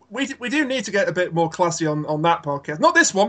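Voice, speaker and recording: The speaker talks at a fairly quick pace with lively intonation in a British accent. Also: man, high pitch for a man. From Britain. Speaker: podcast guest, Let's Player and podcast host. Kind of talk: casual, wry.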